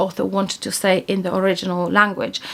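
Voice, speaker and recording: Speaking with a Polish accent and fairly even intonation, a woman is heard over noticeable background noise. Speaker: book YouTuber. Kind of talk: casual monthly book review vlog. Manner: hesitant, with fillers and restarts.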